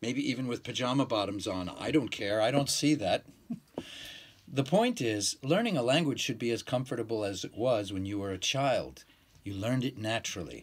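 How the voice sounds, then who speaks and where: A man speaks with an American accent at a moderate pace. His pitch varies in an ordinary way. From New York. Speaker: English teacher. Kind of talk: promotional talk to camera. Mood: relaxed, friendly, smiling. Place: home room. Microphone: phone near.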